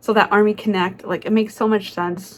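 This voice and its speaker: The voice has an animated tone. It moves at a fairly quick pace. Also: woman. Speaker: vlogger. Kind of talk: casual vlog voiceover.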